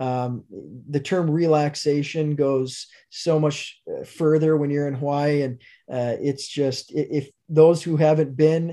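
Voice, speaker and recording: A man speaks in an Upper Midwest accent with a dark, mellow tone. His intonation is monotone and flat, and the background is quiet. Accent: Upper Midwest (Minnesota). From northern Minnesota, near Duluth. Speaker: manufacturing company vice president. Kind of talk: interview. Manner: hesitant with many fillers.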